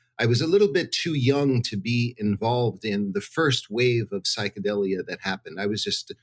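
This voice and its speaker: Recorded with a dry, close sound and no echo, a man with an American accent and an unremarkable speaking voice talks at a moderate pace and medium pitch with lively intonation. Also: hardly any pauses. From New Jersey, US. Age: 60s. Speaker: psychedelics researcher. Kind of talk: interview. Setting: hotel room.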